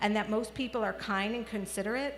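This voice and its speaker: With an American accent, a woman talks at a fairly quick pace in a fairly high pitch, her pitch varying in an ordinary way against noticeable background noise. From New York City (the Bronx). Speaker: children's media researcher. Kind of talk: commencement speech.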